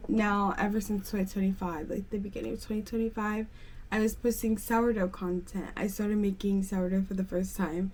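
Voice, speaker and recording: A woman speaks at a medium pitch and a moderate pace, with an American accent. Her intonation is flat and monotone, and there is noticeable background noise. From Pennsylvania, US. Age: 20s. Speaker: lifestyle vlogger. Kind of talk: casual get-ready-with-me vlog chat. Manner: chatty, filler-heavy.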